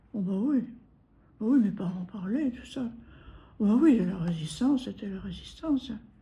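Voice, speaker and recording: A woman's somewhat breathy, dark and mellow voice with lively intonation, big swings in loudness, and long, frequent pauses. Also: fairly high pitch for a woman, moderate pace. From Normandy, France (Granville). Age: 90s. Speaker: war-time witness. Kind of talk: testimony interview. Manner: halting.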